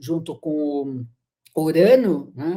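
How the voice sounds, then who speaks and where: A woman's voice with a dark, mellow tone. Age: 60s. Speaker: astrologer. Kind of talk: lecture.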